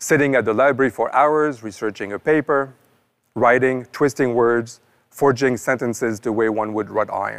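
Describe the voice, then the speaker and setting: A man with a French accent talks at a moderate pace with fairly even intonation. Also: medium pitch for a man. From northern France. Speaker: professor. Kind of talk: scripted narration. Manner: formal.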